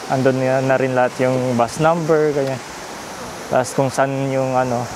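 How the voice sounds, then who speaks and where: Long, frequent pauses break up the fairly slow speech over noticeable background noise. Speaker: travel vlogger. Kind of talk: vlog narration. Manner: casual, halting with fillers.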